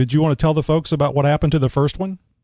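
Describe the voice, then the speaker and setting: A fairly high-pitched man with a South Texas accent and fairly even intonation. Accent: Southern Texas. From Texas, Houston. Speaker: podcast host. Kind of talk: casual interview. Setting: Skype call.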